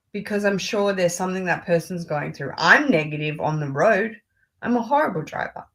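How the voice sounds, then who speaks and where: A woman talks at a fairly quick pace with an Australian accent. Her medium pitch carries lively intonation. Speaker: luxury fashion YouTuber. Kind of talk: casual chat.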